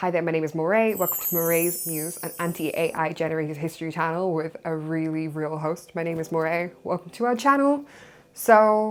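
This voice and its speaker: A woman with a Welsh accent speaks at a fairly quick pace, her fairly low pitch showing ordinary variation. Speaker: history YouTuber. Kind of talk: casual educational talk.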